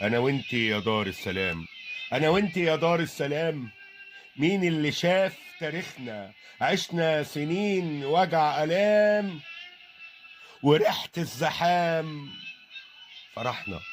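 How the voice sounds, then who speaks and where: With an Egyptian accent and a fairly high pitch, a man speaks very slowly with lively intonation and long, frequent pauses while music plays in the background. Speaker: poet. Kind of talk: poetry reading. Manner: emotional, sorrowful.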